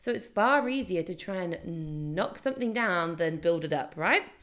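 A woman speaks at a fairly low pitch with vocal fry. Her intonation is lively. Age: 20s. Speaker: podcast host and entrepreneur. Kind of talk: solo podcast monologue. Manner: casual, laughing at times.

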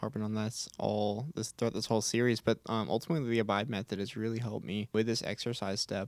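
Speaking with an American accent, a man talks at a very fast pace with hardly any pauses. The sound is dry and close, with no echo. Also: very clean recording, silent background. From Texas, Houston. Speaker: college student leader. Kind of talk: casual faith discussion. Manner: hesitant, many fillers.

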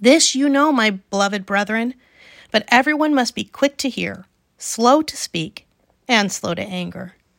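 In a plain, everyday voice with lively intonation, the speaker goes at a fairly slow pace, captured with a dry, close sound with no echo on a very clean recording with a silent background. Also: woman, fairly high pitch for a woman. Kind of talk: literary audiobook reading of scripture, measured and even, steady devotional cadence. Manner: calm, unhurried, warm and reverent, clear pacing.

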